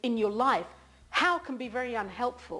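The voice belongs to a woman and sits at a high pitch. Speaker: self-help teacher. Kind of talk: tutorial. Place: home room. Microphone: lapel.

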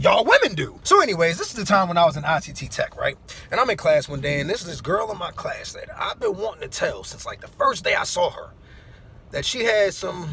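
A man at a very fast pace, with big swings in loudness over light background noise. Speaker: storyteller vlogger. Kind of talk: casual vlog chat. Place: car. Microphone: phone near.

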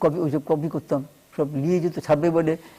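Dark, mellow tones from a male speaker, captured on a very clean recording with a silent background. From West Bengal, India (rural, near Kolkata). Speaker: novelist. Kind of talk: TV interview.

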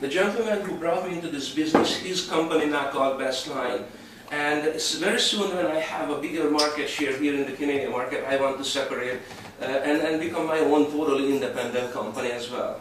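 Against light background noise and audible room echo, a man talks at a fairly quick pace. His pitch is fairly high, with ordinary variation. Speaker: hypnotherapist and network marketing presenter. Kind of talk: sales presentation. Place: home room. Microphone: camera far.

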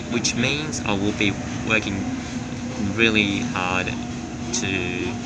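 A man's voice with ordinary pitch variation over loud background noise. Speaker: train vlogger. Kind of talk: casual vlog chat. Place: train. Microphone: phone near.

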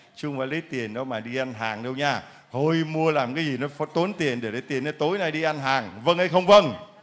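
The speech moves at a moderate pace with hardly any pauses and ordinary pitch variation. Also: man, fairly high pitch for a man. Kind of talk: church testimony session. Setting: church with congregation. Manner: animated. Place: church. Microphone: handheld.

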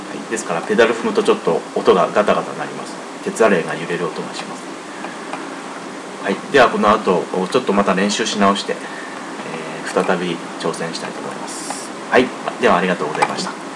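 Over noticeable background noise, a man with a fairly low pitch speaks at a moderate pace, showing ordinary pitch variation and big swings in loudness. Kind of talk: casual spoken introduction to a piano performance. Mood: modest, relaxed. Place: home room. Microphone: webcam.

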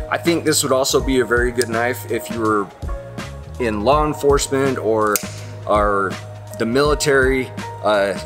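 A man talks at a moderate pace with ordinary pitch variation. Long, frequent pauses break up his speech, and clear music plays in the background. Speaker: presenter. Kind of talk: product review chat. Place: factory. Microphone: phone near.

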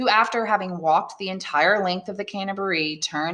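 An unforced reading voice whose pitch varies in an ordinary way

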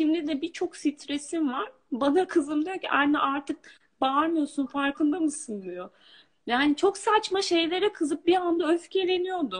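The background stays quiet. At a fairly slow pace, a woman talks. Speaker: coaching client. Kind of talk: testimony. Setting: video call. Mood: reflective, relieved. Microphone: video call.

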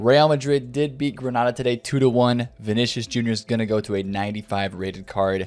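Here is a man at a medium pitch. He speaks at a moderate pace with ordinary pitch variation. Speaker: gaming YouTuber. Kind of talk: casual vlog commentary. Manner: quieter than usual. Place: home room.

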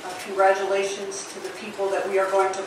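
There is noticeable background noise behind a woman's voice. Audible room echo surrounds her. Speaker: city mayor. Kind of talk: formal ceremonial speech. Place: hall.

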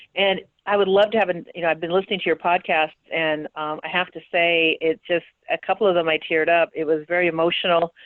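A woman speaks in a fairly low pitch. Her pace is very fast. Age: 60s. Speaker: city council member and lawyer. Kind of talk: casual chat. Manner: animated.

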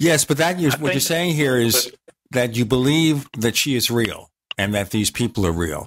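In a very clean recording with a silent background, a man with an unremarkable speaking voice talks at a moderate pace. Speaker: radio host. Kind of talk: interview. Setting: studio.

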